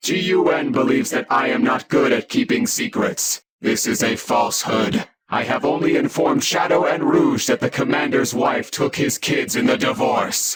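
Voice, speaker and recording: A man uses a put-on character voice pitched high. He keeps a moderate pace with hardly any pauses. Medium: audio drama. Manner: flat, literal.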